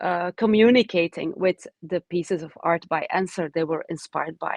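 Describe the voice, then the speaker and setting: A woman with a Dutch accent speaks fairly slowly, with ordinary pitch variation. The sound is dry and close with no echo, over a quiet background. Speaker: oncologist and professor. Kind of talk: webinar talk. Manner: halting, many fillers.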